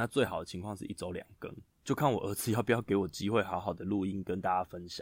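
Recorded very cleanly against a silent background, a man talks at a fairly quick pace with a dry, close sound and no echo. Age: 30s. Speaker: podcast host, new father. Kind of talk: casual monologue, storytelling.

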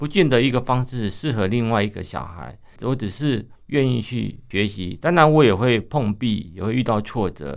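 Showing vocal fry, a man talks at a medium pitch with lively intonation. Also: moderate pace. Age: 50s. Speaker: visually impaired runner, running association chairman, retired civil servant. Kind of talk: radio interview.

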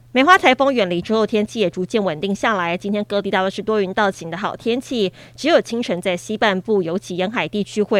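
A woman speaks at a fairly quick pace with a Taiwanese accent. Her medium-pitched voice sounds dry and close, with no echo. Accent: Taiwanese Mandarin. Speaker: news anchor. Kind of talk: news reading. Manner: formal.

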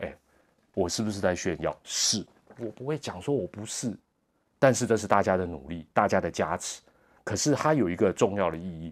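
The speaker uses lively intonation at a moderate pace, broken by long, frequent pauses. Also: man, fairly low pitch for a man. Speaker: sports commentator and podcast host. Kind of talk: monologue podcast commentary. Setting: hotel room. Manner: soft-spoken; hesitant with many fillers.

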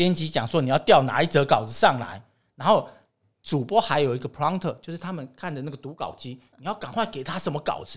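A man speaks at a fairly quick clip with a fairly high pitch, in a normal speaking voice. His intonation is lively, and the very clean recording has a silent background. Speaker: TV director and lecturer. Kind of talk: casual interview.

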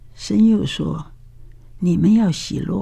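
A woman is speaking. She whispers. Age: 80s+. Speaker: retired professor. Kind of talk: testimony.

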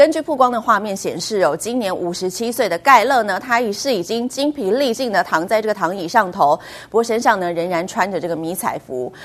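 A woman with a normal speaking voice, medium pitch, lively intonation, a fairly quick pace and hardly any pauses. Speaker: news anchor. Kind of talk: news reading.

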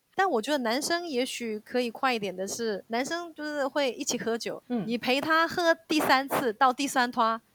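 Her voice is high-pitched, and she keeps a moderate pace with hardly any pauses. The woman's sound is dry and close, with no echo. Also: lively intonation. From South Korea (ethnic Chinese). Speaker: Korean-Chinese interpreter and Korean teacher. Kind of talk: casual interview.

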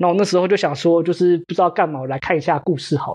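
A man with a Taiwanese accent speaks at a very fast pace. His pitch is high. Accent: Taiwanese Mandarin. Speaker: postdoctoral researcher. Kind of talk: casual interview chat. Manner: halting, repeats words.

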